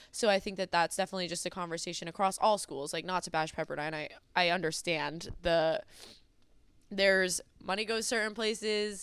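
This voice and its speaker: A woman speaks at a fairly quick pace and a medium pitch. Hers is an unremarkable speaking voice. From US Northeast, New Jersey. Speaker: college track and field athlete. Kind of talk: podcast interview.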